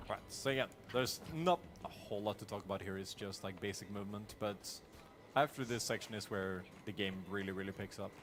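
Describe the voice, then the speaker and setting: A man with a Norwegian accent speaks at a fairly quick pace in a fairly low voice, his pitch varying in an ordinary way. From Norway, rural. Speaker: speedrunner. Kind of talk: live gameplay commentary. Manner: casual, with fillers and repetitions.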